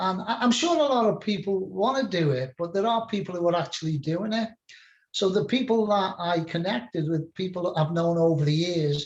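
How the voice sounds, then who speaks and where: A high-pitched man with a Liverpool accent at a moderate pace, with ordinary pitch variation. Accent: English, Liverpool area. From England, Merseyside near Liverpool. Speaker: spiritual mentor and musician. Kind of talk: casual interview chat.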